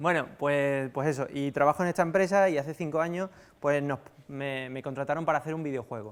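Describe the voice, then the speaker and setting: A man with a Sevillian accent at a fairly quick pace, with ordinary pitch variation. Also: fairly high pitch for a man. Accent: Andalusian (Seville), noticeable. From Spain, Seville (Andalusia). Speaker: software developer, conference speaker. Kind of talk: conference talk. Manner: casual, hesitant with fillers.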